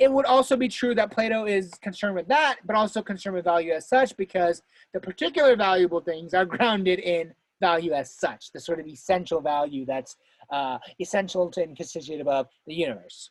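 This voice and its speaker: At a fairly quick pace, a woman with a medium pitch speaks with very wide pitch swings. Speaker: philosophy student presenter. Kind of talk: lecture. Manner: fast.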